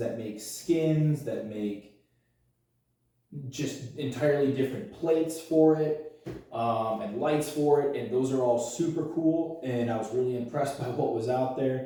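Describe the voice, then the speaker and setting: A man's somewhat breathy, dark, mellow voice at medium pitch, with ordinary pitch variation, a fairly slow pace, and audible room echo. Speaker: YouTuber doing a DIY project. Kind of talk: tutorial. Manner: casual, self-deprecating.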